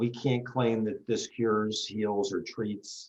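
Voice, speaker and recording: A man with an unremarkable speaking voice, fairly low in pitch, with ordinary pitch variation and a fairly slow pace. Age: 60s. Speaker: retired foot surgeon, product promoter. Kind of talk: interview presentation. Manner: short sentences with pauses for translation. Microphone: laggy connection.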